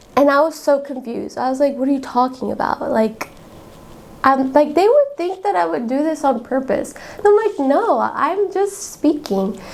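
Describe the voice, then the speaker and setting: A woman's high voice with an American accent, very wide pitch swings and a moderate pace, over noticeable background noise. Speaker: student podcast host. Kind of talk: casual personal talk. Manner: animated.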